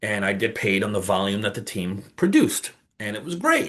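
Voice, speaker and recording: Over a quiet background, a man speaks in an animated tone at a moderate pace. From New York. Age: 50s. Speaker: online business coach. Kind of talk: casual talk to camera.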